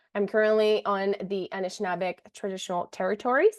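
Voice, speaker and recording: A woman speaks with a French Canadian accent. Her pace is fairly quick and her intonation fairly even. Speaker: community engagement officer. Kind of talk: reading a land acknowledgement.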